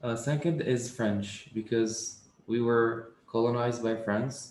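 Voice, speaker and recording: In an Arabic accent, a man speaks at a very slow pace with very even loudness and fairly even intonation. There is audible room echo. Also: medium pitch for a man. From Tunisia. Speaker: coding interview student. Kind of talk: casual chat.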